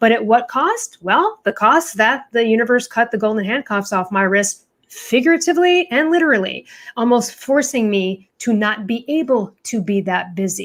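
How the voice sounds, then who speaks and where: A woman speaks in a fairly high pitch with an American accent. Her tone is animated and her intonation lively. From US Midwest, Chicago. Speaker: author and confidence coach. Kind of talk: podcast interview. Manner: fast-talking.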